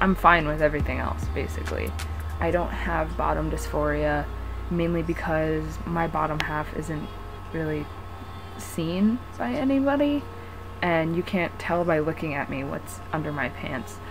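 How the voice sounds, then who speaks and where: A woman is speaking with audible room echo. Noticeable background noise can be heard too. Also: moderate pace. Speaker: vlogger. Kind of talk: personal vlog. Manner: pitch shifts between higher and lower; hesitant, rambling.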